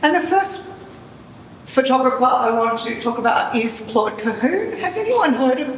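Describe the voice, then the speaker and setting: A woman talks at a moderate pace in a high pitch with lively intonation. Noticeable background noise and audible room echo surround her voice. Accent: Australian. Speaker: professor of cultural studies. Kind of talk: lecture. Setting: art gallery talk with audience. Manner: halting, many fillers.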